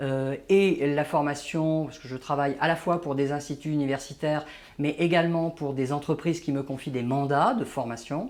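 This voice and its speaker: A man with a fairly high voice keeps his intonation fairly even and his pace moderate. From Paris, France (born in Algeria). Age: 60s. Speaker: management trainer and author. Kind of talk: interview. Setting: office. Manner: hesitant, many fillers.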